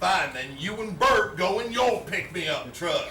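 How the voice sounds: Amid audible room echo, a man does a put-on character voice that is high-pitched with a bright, sharp tone, big pitch swings and a fairly slow pace.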